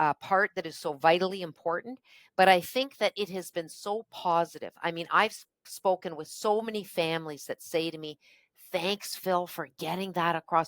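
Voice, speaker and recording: A woman with a Canadian accent speaks at a moderate pace in a plain, everyday voice. Her pitch is fairly low, and her loudness swings widely. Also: ordinary pitch variation, dry, close sound with no echo. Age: 60s. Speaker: politician. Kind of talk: interview.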